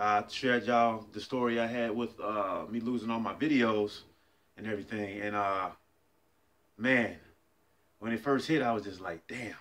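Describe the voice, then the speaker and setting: A man speaks at a moderate pace in a bright, sharp tone. His intonation stays fairly even. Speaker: fitness vlogger. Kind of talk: casual vlog chat. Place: kitchen. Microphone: phone near.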